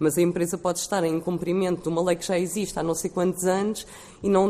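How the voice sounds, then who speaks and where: Here a woman speaks in a fairly low pitch. Her tone is dark and mellow. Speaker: activist. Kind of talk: formal panel presentation.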